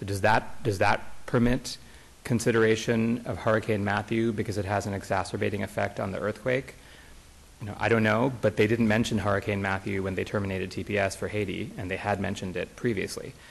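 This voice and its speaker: Here is a man with a plain, everyday voice. He talks at a fairly quick pace, fairly low in pitch, with fairly even intonation. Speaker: plaintiffs' attorney. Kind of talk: courtroom oral argument. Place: hall. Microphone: podium.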